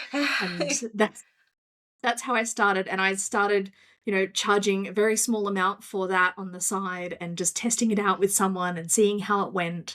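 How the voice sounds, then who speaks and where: A woman with an Australian accent, medium pitch and a bright, sharp tone, at a moderate pace with fairly even intonation, on a very clean recording with a silent background. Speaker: business coach. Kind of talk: casual interview.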